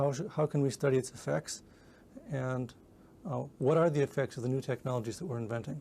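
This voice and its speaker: Pitch variation is ordinary as the voice moves along at a fairly quick pace. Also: man, medium pitch for a man. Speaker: computer science researcher. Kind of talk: scripted statement to camera. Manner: fast; halting.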